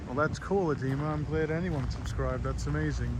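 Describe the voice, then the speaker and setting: Speaking fairly quickly with an American accent, a man is heard through audible room echo and noticeable background noise. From Long Island, New York. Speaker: live streamer. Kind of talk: casual live stream chat.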